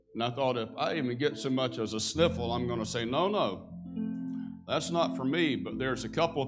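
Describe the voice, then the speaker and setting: The speaker goes at a moderate pace with clear music in the background. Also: man. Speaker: pastor. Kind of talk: sermon. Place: church. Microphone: lapel.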